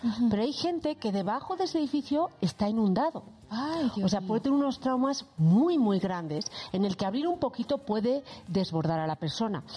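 Over noticeable background noise, a woman talks at a moderate pace in a fairly high pitch, her loudness very even and her pitch swinging very widely. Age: 40s. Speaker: psychologist. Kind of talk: casual chat.

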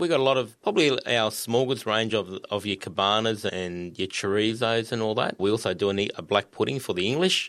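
A man with an Australian accent, fairly low pitch and ordinary pitch variation, talking at a fairly quick pace with hardly any pauses. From Sunshine Coast, Queensland, Australia. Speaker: butcher and sales manager. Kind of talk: casual interview.

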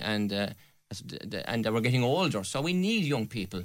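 A man with a Limerick accent talks at a moderate pace, medium in pitch with lively intonation. The recording is very clean, with a silent background. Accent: Irish (Limerick). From Ireland, County Limerick. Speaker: election candidate. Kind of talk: radio election debate.

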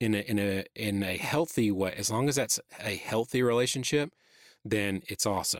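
At a moderate pace, a man talks with a fairly low pitch in a dry, close sound with no echo. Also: very clean recording, silent background. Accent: Southern US. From Atlanta, Georgia (US South). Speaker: church creative director. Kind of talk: interview conversation. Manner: halting, many fillers.

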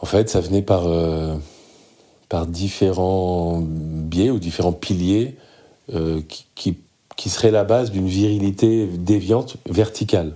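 A man speaks very slowly in a very deep, low voice with a dark, mellow tone, fairly even intonation, and long, frequent pauses. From Lebanon, raised in France. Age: 40s. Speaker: men's group facilitator. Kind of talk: casual chat.

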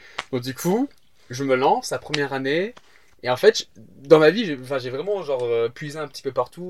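A man's medium-pitched voice carries lively intonation while he talks at a moderate pace. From England (Southampton). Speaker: stand-up comedian. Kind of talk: casual chat. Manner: halting.

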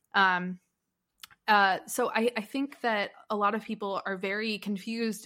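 A woman speaks in an ordinary speaking voice at a medium pitch and a moderate pace. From US South, Nashville. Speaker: music journalist and musician. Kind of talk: casual chat.

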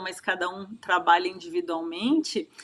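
With ordinary pitch variation, the woman's voice rests at a medium pitch. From Santa Catarina, southern Brazil. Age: 40s. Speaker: wellness consultant and coach. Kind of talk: interview.

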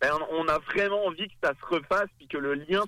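A man speaks at a moderate pace in a fairly high pitch, his tone bright and sharp. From France. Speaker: film school representative.

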